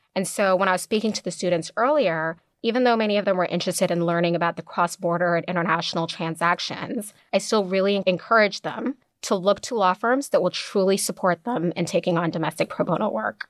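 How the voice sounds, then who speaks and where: Recorded very clean and dry, close with no echo and a silent background, a woman with an American accent talks very fast at a medium pitch with ordinary pitch variation. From Kenya, then North Carolina. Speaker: lawyer. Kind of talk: interview. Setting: studio.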